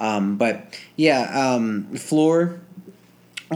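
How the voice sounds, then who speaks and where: A man speaks with an American accent in an ordinary speaking voice. His intonation is lively. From New Jersey. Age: 20s. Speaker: gymnast. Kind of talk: casual chat. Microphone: old equipment, some feedback and quiet.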